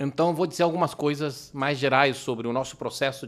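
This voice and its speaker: Recorded very cleanly with a silent background, a man speaks at a fairly high pitch. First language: Spanish (speaking Portuguese). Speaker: legal expert speaker. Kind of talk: lecture. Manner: halting.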